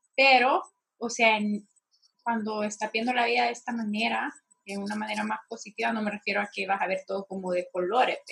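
A fairly quick pace from a woman at medium pitch. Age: 20s. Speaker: podcast co-host on mental health. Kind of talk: casual chat.

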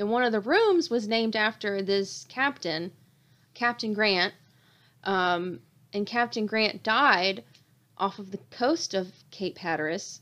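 A woman with a North Carolina accent speaks at a fairly slow pace with lively intonation and long, frequent pauses. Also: medium pitch for a woman. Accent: Southern US (North Carolina). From North Carolina (Durham). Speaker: podcast host. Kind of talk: casual chat.

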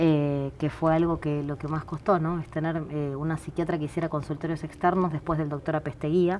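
A woman with a very deep, low pitch speaks at a fairly quick pace in a monotone, flat intonation, with hardly any pauses. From Buenos Aires, Argentina (Ramos Mejía). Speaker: doctor and municipal health director. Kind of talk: interview.

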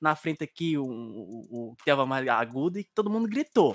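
Here a man has a plain, everyday voice with a fairly high pitch. He speaks at a moderate pace, and the sound is dry and close with no echo. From Bahia, Brazil. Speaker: geek rapper. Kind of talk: casual chat. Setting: video call.

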